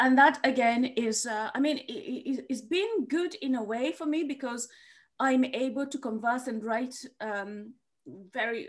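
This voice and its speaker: A woman with a high voice at a fairly slow pace, ordinary pitch variation and a quiet background. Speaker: comedian and author; comedian. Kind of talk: interview conversation. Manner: halting, many fillers and repeats. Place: home room. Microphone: video call.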